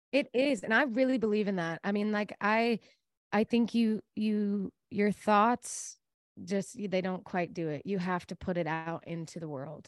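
A woman in an American accent, with an unremarkable speaking voice of medium pitch, ordinary pitch variation and a fairly slow pace, on a very clean recording with a silent background and a dry, close sound with no echo. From Texas, Dallas area. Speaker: singer-songwriter. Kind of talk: interview.

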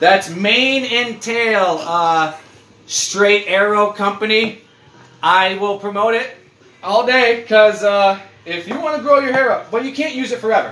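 A man with a high pitch uses a raised, projected voice at a fairly slow pace amid noticeable background noise. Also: ordinary pitch variation. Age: 30s. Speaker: podcast host. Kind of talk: casual chat. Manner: animated.

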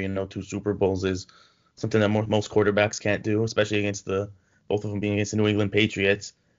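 A man with a Toronto accent at a fairly low pitch. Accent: Canadian (Toronto). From Canada (Toronto). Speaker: sports podcast co-host. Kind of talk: casual chat.

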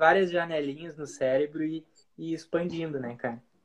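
With a plain, everyday voice, a man speaks at a fairly high pitch with fairly even intonation. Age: 20s. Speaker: marketing strategist. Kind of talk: casual interview chat. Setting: Instagram live recording.

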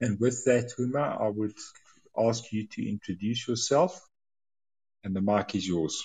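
Somewhat breathy, a man speaks fairly slowly at a medium pitch with ordinary pitch variation and long, frequent pauses. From South Africa. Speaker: podcast host, magazine editor. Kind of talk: interview; scripted introduction.

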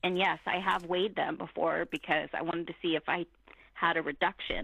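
In an ordinary speaking voice, a woman talks fairly quickly at a fairly low pitch with fairly even intonation. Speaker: guest. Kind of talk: casual chat.

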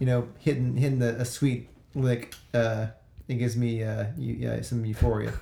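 Noticeable background noise accompanies a man whose intonation stays monotone and flat. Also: medium pitch for a man, moderate pace. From Louisiana (Baker/Zachary area). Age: 30s. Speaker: musician. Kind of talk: casual chat.

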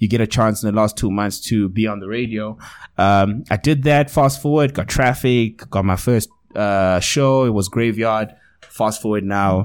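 This man has a South African accent and a fairly low pitch. He talks at a moderate pace with ordinary pitch variation. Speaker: radio DJ and TV presenter. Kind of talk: casual chat. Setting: studio.

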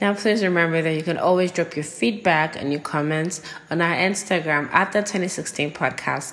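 At a moderate pace, a woman speaks with a fairly low pitch and ordinary pitch variation amid noticeable background noise. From Nigeria. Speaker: podcast host. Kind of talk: casual solo monologue. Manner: animated.

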